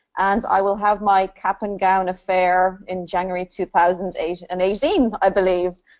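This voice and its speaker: Against a quiet background, a woman of medium pitch talks at a moderate pace. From Ireland. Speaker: online master's graduate. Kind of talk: panel discussion. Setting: live online webinar.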